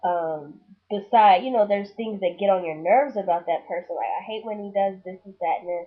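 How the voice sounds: The voice has a slightly husky edge. It moves at a moderate pace with fairly even intonation. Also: woman.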